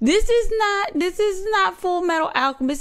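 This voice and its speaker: Her pitch swings very widely as a woman speaks at a fairly quick pace. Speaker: reaction streamer. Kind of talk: casual reaction commentary. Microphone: studio mic.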